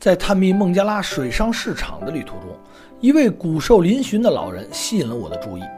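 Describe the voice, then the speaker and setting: Music plays in the background as a man talks. His voice is high, with very wide pitch swings. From Beijing. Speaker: travel vlogger. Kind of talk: documentary voice-over narration.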